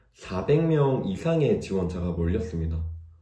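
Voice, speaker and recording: Very wide pitch swings mark a dark, mellow tone heard with audible room echo. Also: man. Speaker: job-seeking aspiring developer, vlogger. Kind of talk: casual vlog monologue. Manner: hesitant, with fillers.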